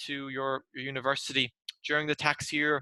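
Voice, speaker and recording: A man with an Irish accent speaks at a moderate pace in a bright, sharp tone, his intonation flat and monotone, and the sound is dry and close with no echo. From Ireland. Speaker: tax presenter. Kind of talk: webinar presentation.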